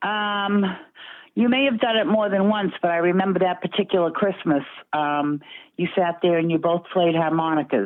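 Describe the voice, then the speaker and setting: A woman talks in a strong Boston accent at a moderate pace and fairly low pitch. Her pitch variation is ordinary and her loudness very even. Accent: Boston accent, still strong. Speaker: interviewee's mother. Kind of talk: casual family chat. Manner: hesitant, many fillers.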